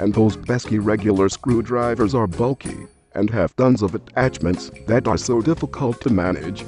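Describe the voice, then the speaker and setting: Music plays in the background as the speaker keeps a moderate pace with hardly any pauses. Loudness stays very even, and the pitch varies in an ordinary way. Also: man, fairly low pitch for a man. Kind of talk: TV commercial read.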